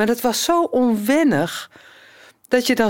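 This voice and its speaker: A woman talks at a very slow pace on a very clean recording with a silent background. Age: 50s. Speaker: blind musician and choir conductor. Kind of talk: casual interview talk.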